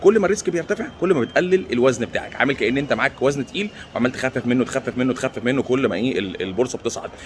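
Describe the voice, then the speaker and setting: Hardly pausing, a man with an Egyptian accent talks very fast at a medium pitch with very wide pitch swings over noticeable background noise. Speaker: stock market commentator. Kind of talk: casual vlog commentary. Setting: airport. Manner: speaking quietly; halting, repeats words.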